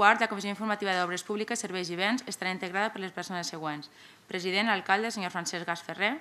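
Speaking very fast, a woman uses a bright, sharp tone with fairly even intonation. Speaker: council secretary reading motions. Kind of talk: formal reading aloud of official proposals. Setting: municipal council chamber. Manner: formal. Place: meeting room. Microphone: podium.

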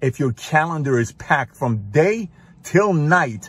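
A man talks at a moderate pace in a somewhat breathy voice. The sound is dry, with no echo. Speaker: motivational speaker. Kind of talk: motivational monologue. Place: car. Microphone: phone near.

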